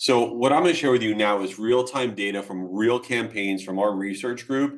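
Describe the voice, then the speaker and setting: His pitch sits medium and shifts in an ordinary way as the man talks. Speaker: email marketing agency speaker. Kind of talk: webinar presentation. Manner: fast.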